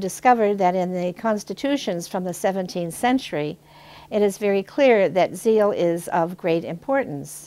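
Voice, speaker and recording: This woman has a dark, mellow tone and an American accent. Her medium pitch shows ordinary variation at a moderate pace. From northwestern Pennsylvania. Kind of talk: reflective video introduction.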